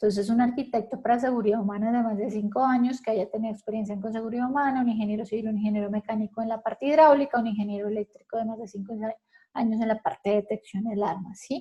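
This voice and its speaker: Somewhat breathy, a woman talks at a very fast pace in a dark, mellow tone, her fairly high pitch held to fairly even intonation. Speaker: fire safety instructor. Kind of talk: lecture.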